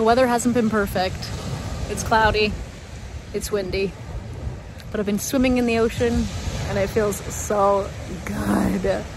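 Fairly slow speech from a woman, with long, frequent pauses, a dry sound with no echo, and noticeable background noise. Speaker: travel vlogger. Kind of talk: casual vlog chat. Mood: happy, relaxed. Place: beach. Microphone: phone near.

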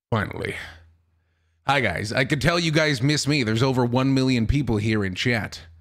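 The voice sounds animated, with ordinary pitch variation at a moderate pace, in audible room echo. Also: man, medium pitch for a man. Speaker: streamer. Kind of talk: casual livestream chat. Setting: livestream.

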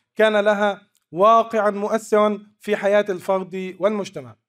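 A man is speaking. His voice sits high in pitch. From Egypt. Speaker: archaeology researcher. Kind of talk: conference paper presentation.

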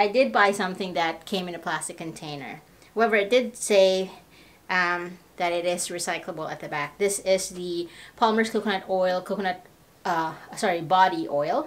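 A woman's pitch varies in an ordinary way as she speaks at a moderate pace. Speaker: lifestyle vlogger. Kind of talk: casual vlog chat. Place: home room. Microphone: camera far.

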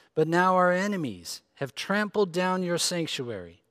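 A man speaks at a high pitch with ordinary pitch variation. His pace is fairly slow. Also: quiet background. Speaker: preacher. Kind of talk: scripture reading. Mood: solemn, measured. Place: church.

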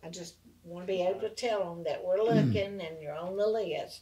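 A woman with a Southern US accent speaks with ordinary pitch variation and big swings in loudness, leaving long, frequent pauses. Noticeable background noise runs underneath. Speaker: city council member. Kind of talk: council meeting discussion.

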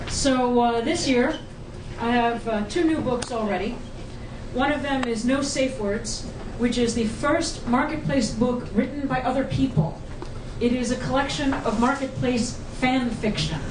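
A high-pitched woman's voice at a moderate pace, with ordinary pitch variation and noticeable background noise. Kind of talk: casual talk to an audience. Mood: humorous, self-deprecating. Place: hall.

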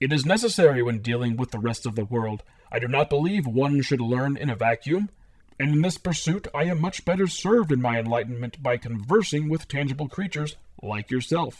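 A man at a fairly quick pace, his pitch fairly high, on a very clean recording with a silent background. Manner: cheerful, reassuring, wise.

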